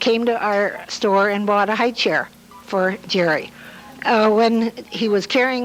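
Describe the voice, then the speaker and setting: Noticeable background noise sits behind a woman with an American accent speaking at a fairly slow pace. Her pitch is fairly high and her intonation fairly even. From Hammond, Indiana, US Midwest. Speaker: local elder sharing memories. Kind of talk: oral history storytelling. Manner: halting with frequent uh fillers.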